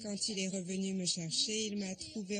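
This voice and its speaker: A woman with an ordinary speaking voice talks at medium pitch and a fairly slow pace, her intonation fairly even. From Japan, Fuji Yoshida. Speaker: local resident. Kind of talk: interview.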